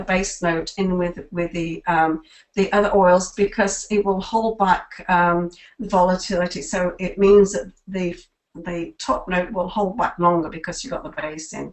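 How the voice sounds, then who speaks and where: A woman's unremarkable speaking voice, medium in pitch, fairly slow, with fairly even intonation. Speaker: product presenter. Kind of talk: webinar presentation. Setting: webinar call.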